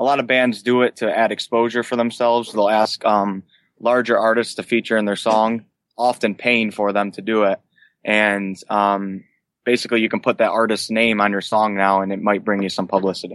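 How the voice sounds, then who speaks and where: The speech moves at a fairly quick pace with a monotone, flat intonation. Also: man, fairly low pitch for a man. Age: 20s. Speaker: singer and musician. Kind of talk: casual interview. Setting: home basement, remote.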